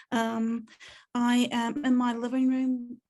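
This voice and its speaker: This woman's voice is fairly high and somewhat breathy, with a dark, mellow tone. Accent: New Zealand. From New Zealand. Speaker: box office manager. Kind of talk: self-introduction on video call. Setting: video call from living room.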